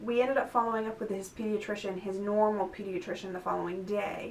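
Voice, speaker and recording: Amid noticeable background noise and audible room echo, a woman talks at a medium pitch with fairly even intonation. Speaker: mother vlogging about her child's illness. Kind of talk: casual vlog update. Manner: conversational with many fillers.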